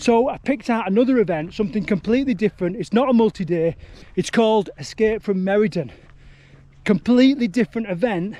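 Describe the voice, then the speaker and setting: Talking at a very fast pace with a Yorkshire accent, a man has a high pitch, ordinary pitch variation and a dark, mellow tone. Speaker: ultrarunner vlogger. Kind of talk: casual vlog talk. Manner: casual, halting.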